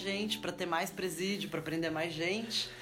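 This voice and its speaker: Audible room echo and noticeable background noise surround a woman talking at a moderate speed. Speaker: sociologist. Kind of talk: interview.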